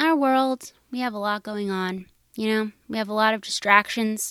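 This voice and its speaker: In an ordinary speaking voice, a woman talks at a moderate pace with a fairly high pitch, on a very clean recording with a silent background. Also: dry, close sound with no echo. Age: 30s. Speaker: podcast host. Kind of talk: solo casual monologue. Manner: casual with frequent fillers.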